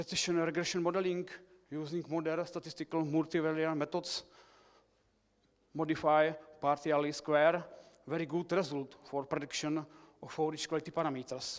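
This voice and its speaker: Speaking in a Czech accent, a man with a fairly high voice keeps a flat, monotone delivery at a moderate pace, with long, frequent pauses. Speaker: researcher. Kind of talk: conference presentation. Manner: halting.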